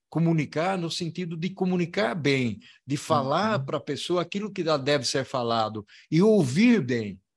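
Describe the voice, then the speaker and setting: His fairly high voice swings very widely in pitch as the man speaks at a moderate pace. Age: 60s. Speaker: logistics consultant and professor. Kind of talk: interview.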